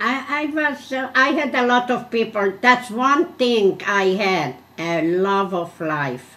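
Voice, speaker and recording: A woman's fairly high voice with a Hungarian accent, very slow with very wide pitch swings and hardly any pauses. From Hungary. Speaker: Holocaust survivor. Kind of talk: oral history interview answer.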